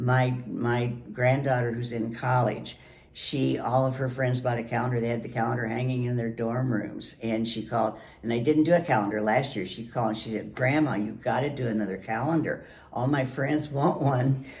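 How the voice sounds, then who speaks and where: Noticeable background noise sits behind a woman's very deep, low voice. She speaks at a moderate pace. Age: 80s+. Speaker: founder of an online aging community. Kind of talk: interview answer. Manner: sassy, bold.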